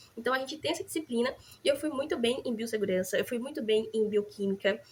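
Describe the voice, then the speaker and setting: Very fast and with lively intonation, a woman speaks. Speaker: nursing student vlogger. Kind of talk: casual vlog chat. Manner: animated.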